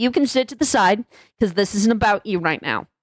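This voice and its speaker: A woman speaks in a normal speaking voice, fairly high-pitched, with lively intonation, recorded very cleanly against a silent background with a dry, close sound and no echo. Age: 20s. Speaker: YouTuber. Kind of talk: vent video commentary.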